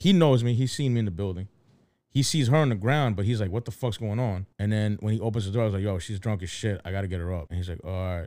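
In a Philadelphia accent, a man talks at a very fast pace with a dark, mellow tone, fairly low pitch and ordinary pitch variation, on a very clean recording with a silent background. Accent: Philadelphia American English. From Philadelphia, US. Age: 30s. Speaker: podcast co-host. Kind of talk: casual chat.

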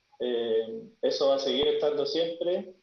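Ordinary pitch variation comes through over audible room echo. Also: man. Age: 40s. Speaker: death and grief guide. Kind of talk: panel discussion.

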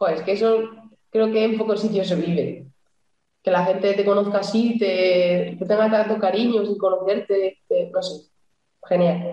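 A woman in a plain, everyday voice, medium in pitch, with fairly even intonation at a moderate pace. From Cantabria, Spain. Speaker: futsal goalkeeper. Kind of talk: casual interview.

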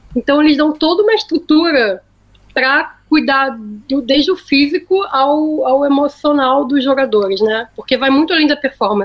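A woman speaks at a high pitch with lively intonation. Her loudness stays very even. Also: moderate pace. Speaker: agency planning director. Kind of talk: casual chat. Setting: remote call from Austin, Texas.

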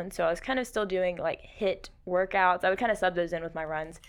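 With an American accent and fairly even intonation, a woman speaks at a medium pitch in a plain, everyday voice. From South Carolina, Rock Hill area. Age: 20s. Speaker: CrossFit athlete and coach. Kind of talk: podcast interview. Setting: studio.

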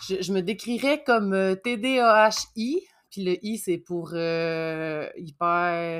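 With ordinary pitch variation, a woman talks in a very clean recording where the background is silent. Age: 30s. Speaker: dispatch assistant. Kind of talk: casual interview.

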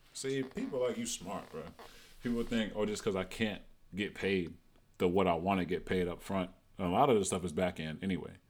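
This man has an unremarkable speaking voice, talking at a fairly quick pace with fairly low pitch and ordinary pitch variation. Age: 20s. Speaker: podcast host, former college athlete. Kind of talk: casual interview chat.

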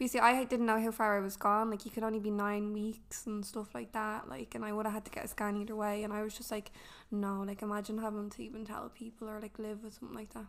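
Barely pausing, a woman with an Irish accent speaks very fast in a fairly high voice with monotone, flat intonation. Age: 20s. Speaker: young mother. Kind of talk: casual chat. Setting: apartment.

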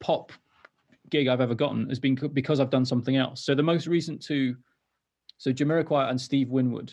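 A man talks at a fairly quick pace. He has a Welsh accent. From North Wales. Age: 30s. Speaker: musician. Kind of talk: casual chat. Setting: video call.

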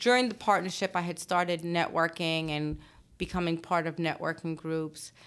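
A woman with an American accent has a plain, everyday voice at a fairly low pitch. She speaks at a moderate pace with fairly even intonation. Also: very clean recording, silent background. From Brooklyn and Long Island, New York. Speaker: attorney and law firm owner. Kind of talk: interview.

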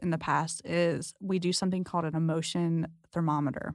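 A woman with an American accent talks at a moderate pace in a fairly low pitch, an unremarkable speaking voice. The recording is very clean with a silent background and a dry, close sound with no echo. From US West Coast, San Diego. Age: 30s. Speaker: marriage and family therapist. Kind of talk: casual chat.

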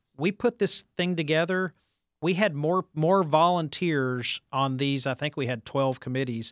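A man with an American accent and an unremarkable speaking voice talks at a fairly high pitch with ordinary pitch variation, the sound dry and close with no echo on a very clean recording with a silent background. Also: fairly slow pace. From Texas, Farmers Branch. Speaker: county judge and former mayor. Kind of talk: interview.

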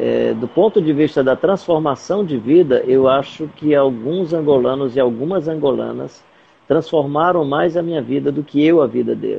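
Speech moves at an average speed. The pitch rises and falls in a normal way. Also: man, fairly high pitch for a man. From Fortaleza, Ceará, Brazil. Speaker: missionary. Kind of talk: interview. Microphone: mobile 4G connection.

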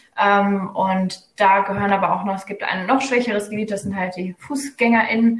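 With hardly any pauses, a woman speaks at a moderate pace in a medium pitch and fairly even intonation. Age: 20s. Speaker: psychology student and local party spokesperson. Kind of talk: casual interview. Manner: hesitant, many fillers.

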